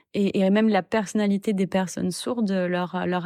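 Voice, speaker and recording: In a very clean recording with a silent background, a woman at medium pitch speaks with a dry, close sound with no echo. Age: 20s. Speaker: sign language interpreter and doctoral researcher. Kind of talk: testimony. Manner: hesitant, many filler sounds.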